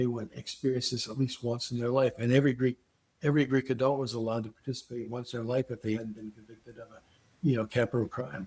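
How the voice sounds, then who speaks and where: Speaking at a very fast pace, a man with a medium-pitched, somewhat breathy voice keeps his intonation fairly even. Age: 80s+. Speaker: psychedelic research scientist. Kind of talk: interview. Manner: halting.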